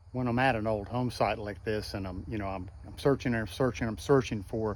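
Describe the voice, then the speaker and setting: With an ordinary speaking voice, a man talks at a fairly quick pace, his fairly low pitch showing ordinary pitch variation. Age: 60s. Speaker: relic hunter and video host. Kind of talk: casual narration while exploring. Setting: outdoors and in an abandoned house.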